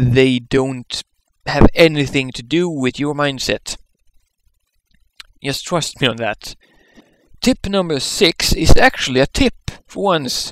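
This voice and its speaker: A man with a non-native accent speaks at a fairly high pitch with lively intonation and big swings in loudness. His pace is fairly slow with long, frequent pauses, and the sound is dry and close with no echo. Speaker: vlogger with Asperger's. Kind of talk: casual talk to camera.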